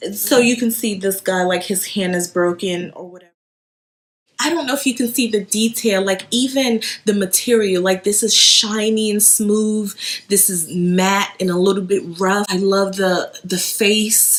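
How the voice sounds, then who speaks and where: Speaking at a fairly slow pace with a slight Haitian accent, a woman talks at a medium pitch with ordinary rises and falls. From Haiti, moved to US around age eight. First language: Haitian Creole or French. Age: 30s. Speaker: home decor vlogger. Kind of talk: casual show-and-tell haul video. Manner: chatty, with fillers and self-repeats.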